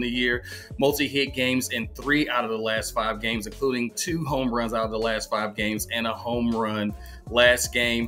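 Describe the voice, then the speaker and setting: Faint music plays in the background as the speaker talks at a moderate pace with fairly even intonation. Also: man. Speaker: fantasy sports analyst. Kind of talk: commentary. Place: home room. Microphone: webcam.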